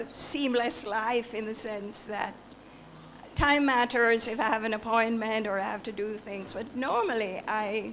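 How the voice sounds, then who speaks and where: Over noticeable background noise and audible room echo, a woman speaks at a fairly slow pace in a fairly high pitch. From rural Jamaica. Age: old. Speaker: author. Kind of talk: Q&A at a book launch. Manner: halting.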